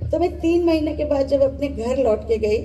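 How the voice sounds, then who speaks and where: A woman with an Odia accent, with music in the background and audible room echo. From central India, Bhilai steel township. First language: Odia (speaking Hindi). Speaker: former Hindi broadcaster, talk show speaker. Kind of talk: talk show speech, personal story.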